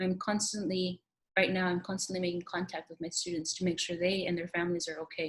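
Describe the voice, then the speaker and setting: A woman's fairly low, somewhat breathy voice in a Spanish accent, monotone and flat in intonation, at a very fast pace. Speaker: teacher. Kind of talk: recorded application interview monologue. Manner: halting.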